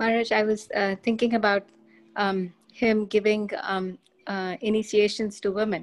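Long, frequent pauses break up a woman's moderate-paced speech. Her pitch is fairly high and her intonation monotone and flat. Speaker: participant in online class. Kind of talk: class discussion. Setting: video call.

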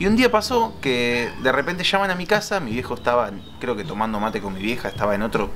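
A man in an Argentine accent, fairly quick and with very wide pitch swings, over light background noise. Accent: Rioplatense Argentine Spanish. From Argentina. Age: 20s. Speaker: photographer and film lab technician; interviewee. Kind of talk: interview storytelling. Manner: hesitant with many fillers. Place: garden.

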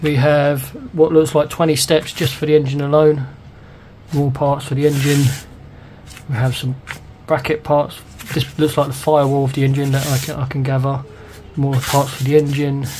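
With a British accent and a fairly high pitch, a man speaks at a moderate pace in a monotone, flat intonation, leaving long, frequent pauses against noticeable background noise. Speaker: scale model kit reviewer. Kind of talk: product review tutorial. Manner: casual, rambling.

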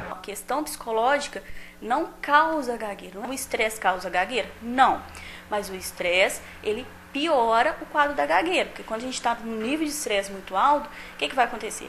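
Against light background noise, a woman with a fairly high pitch and lively intonation speaks at a moderate pace, her loudness swinging a lot. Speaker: speech-language therapist, expert interviewee. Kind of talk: expert interview answer on the street-report segment. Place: office. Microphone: handheld.

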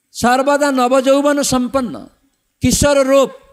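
A man with a non-native accent. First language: not Bengali (speaking Bengali). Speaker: monk and spiritual teacher. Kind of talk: religious discourse. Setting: temple stage with audience.

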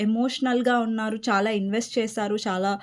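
This is a woman's voice on a very clean recording with a silent background. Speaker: tarot reader. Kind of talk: tarot reading monologue. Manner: quieter than usual.

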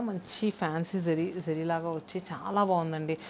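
A fairly quick pace, a slightly mellow tone and fairly even intonation. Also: woman.

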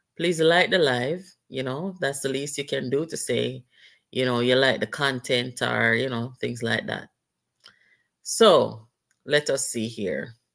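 A woman's very deep, low pitch with vocal fry, ordinary pitch variation, a fairly slow pace and long, frequent pauses. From Jamaica. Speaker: political commentary livestream host. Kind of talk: live-stream commentary with call-ins. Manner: animated.

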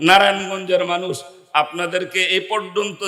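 A man raises and projects his high voice. Noticeable background noise runs underneath. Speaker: Islamic preacher. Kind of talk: sermon. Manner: animated.

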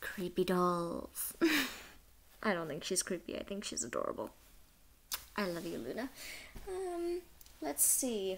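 A woman speaks quietly at a fairly slow pace. Long, frequent pauses break up her speech. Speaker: vlogger. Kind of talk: casual talk to camera. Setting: night, shared house. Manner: whispered. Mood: warm, cheerful. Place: home room. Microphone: webcam.

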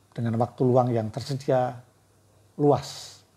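A somewhat breathy man at a moderate pace. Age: 50s. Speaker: book reviewer and author; book reviewer. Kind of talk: book review monologue. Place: home room. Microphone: lapel.

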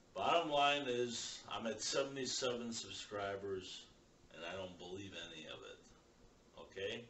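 A man speaks at a very slow pace with lively intonation and big swings in loudness. Light background noise and audible room echo surround him. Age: 60s. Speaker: YouTuber. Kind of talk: vlog monologue. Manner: rambling. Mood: irritated, dismissive.

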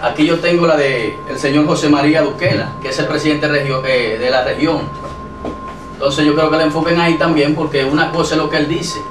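With noticeable background noise behind him, a man speaks at a fairly high pitch with fairly even intonation. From Dominican Republic, Santo Domingo. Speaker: local political candidate. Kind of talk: TV interview. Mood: defensive, arguing his case. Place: studio.

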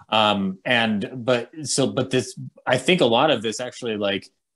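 A man speaks at a fairly slow pace. His pitch is medium, and the background is quiet. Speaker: podcast host. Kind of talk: casual conversation. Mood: friendly, upbeat. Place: home room. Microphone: studio mic.

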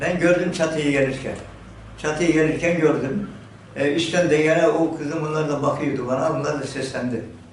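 Amid noticeable background noise, a man speaks at a moderate pace with fairly even intonation and a fairly high pitch. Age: 70s. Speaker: village headman. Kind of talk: interview answer.

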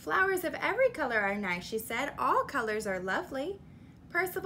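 The voice sounds natural. It is reading aloud.

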